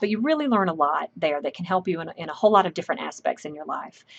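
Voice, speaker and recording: A woman's medium-pitched voice with a Southern US accent, very fast delivery, and a quiet background. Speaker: professor. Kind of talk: lecture.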